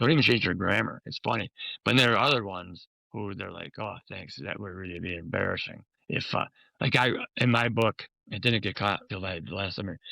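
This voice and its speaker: A man with a Chicago accent, fairly low in pitch with a bright, sharp tone, talking at a fairly quick pace with big swings in loudness, on a very clean recording with a silent background and a dry, close sound with no echo. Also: ordinary pitch variation. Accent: Chicago American. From US Midwest, Chicago. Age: 70s. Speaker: memoir author. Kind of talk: interview conversation.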